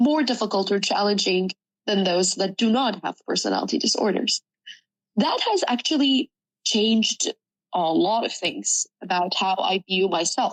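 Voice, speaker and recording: A woman with an Arabic accent speaks at a moderate pace and medium pitch, with lively intonation. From Sudan. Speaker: journalism student. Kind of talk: personal testimony interview.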